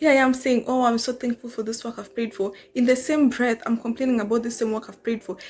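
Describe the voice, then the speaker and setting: A woman in a Kenyan accent talks at a very fast pace with a fairly high pitch. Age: 20s. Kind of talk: casual talk to camera. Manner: conversational, animated.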